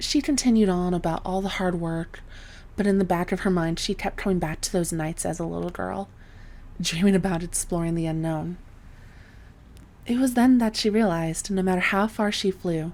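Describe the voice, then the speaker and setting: A woman speaks at a medium pitch. She is soft-spoken. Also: ordinary pitch variation, moderate pace. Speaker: voice actor. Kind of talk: sleep story.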